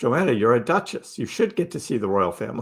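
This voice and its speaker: Vocal fry runs through this man's fairly high voice, which has an American accent. His pitch swings very widely. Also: very clean recording, silent background. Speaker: crypto livestream host. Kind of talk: live stream chat reading viewer comments. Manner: casual, conversational.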